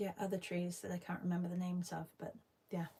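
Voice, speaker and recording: A woman's somewhat breathy voice has a medium pitch and a dark, mellow tone. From UK. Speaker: artist. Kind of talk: live stream art session chat. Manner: casual, hesitant with fillers.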